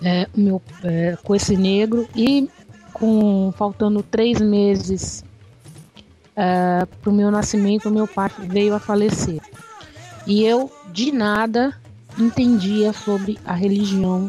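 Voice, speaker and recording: Music plays in the background as a woman at a medium pitch speaks at a very slow pace with long, frequent pauses, fairly even intonation and very even loudness. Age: 40s. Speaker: candomblé initiate and religious activist. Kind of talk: interview. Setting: radio interview.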